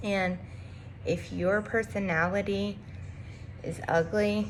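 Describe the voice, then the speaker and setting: A woman speaks in a somewhat breathy voice. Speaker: motivational video creator. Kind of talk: motivational vlog monologue. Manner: animated.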